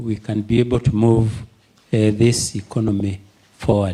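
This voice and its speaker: Talking at a fairly slow pace, a man uses a medium pitch with a dark, mellow tone that is somewhat breathy. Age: 70s. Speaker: audience member asking a question. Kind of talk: Q&A comment at a virtual forum. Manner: halting with many fillers.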